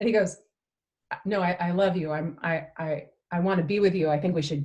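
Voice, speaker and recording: Somewhat breathy, a woman speaks in a fairly low pitch with fairly even intonation. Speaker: personal development company co-owner. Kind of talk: casual chat. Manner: fast.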